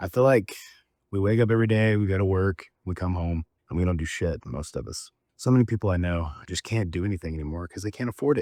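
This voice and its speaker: In a very clean, dry, close recording with a silent background and no echo, a man with an American accent talks at a very fast pace, his very deep, low voice dark and mellow in tone with ordinary pitch variation. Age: 30s. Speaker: video director and vlogger. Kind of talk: personal vlog. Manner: casual, conversational.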